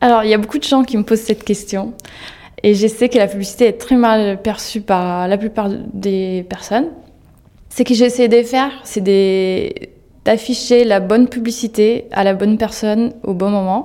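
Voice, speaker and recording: A woman at a fairly high pitch, moderate pace and fairly even intonation, with long, frequent pauses. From Italy. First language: Italian (speaking French). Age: 30s. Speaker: digital advertising manager. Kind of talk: interview. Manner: halting, frequent hesitations.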